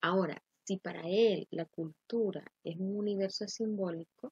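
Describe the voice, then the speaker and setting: Speaking very slowly with a Honduran accent, a woman sounds somewhat breathy, with ordinary pitch variation and a dry, close sound with no echo. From Honduras. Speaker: teacher. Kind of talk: lecture.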